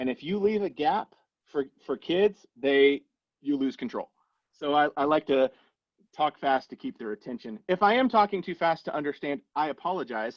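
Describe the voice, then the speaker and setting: In a normal speaking voice, a man delivers lively intonation at a fairly high pitch. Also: moderate pace. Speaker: agile coach and webinar presenter. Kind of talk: webinar presentation.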